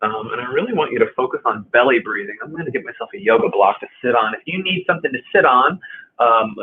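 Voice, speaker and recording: Very fast male speech. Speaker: movement and stretching instructor. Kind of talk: guided movement class. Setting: live stream. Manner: soft-spoken; halting, many fillers.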